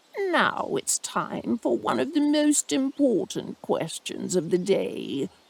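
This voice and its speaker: A put-on character voice moves at a fairly slow pace with a fairly high pitch. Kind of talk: wedding ceremony speech. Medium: read story.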